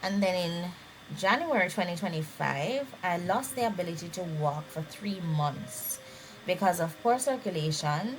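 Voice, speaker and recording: Over music in the background, a woman with a fairly low pitch speaks at a fairly slow pace with lively intonation. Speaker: vlogger sharing illness journey. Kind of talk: personal testimony.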